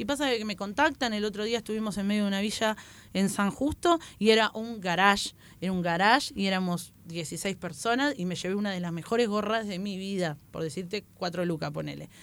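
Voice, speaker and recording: Over a silent background in a very clean recording, a woman with an unremarkable speaking voice talks at a fairly quick pace with ordinary pitch variation. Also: medium pitch for a woman. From Buenos Aires western suburbs, Argentina. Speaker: stand-up comedian. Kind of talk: casual chat.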